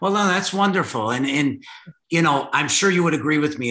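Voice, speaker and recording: A man with a Chicago accent speaks in a bright, sharp tone. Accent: Chicago American. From Chicago, US Midwest. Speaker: podcast host. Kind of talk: casual interview chat. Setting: video call.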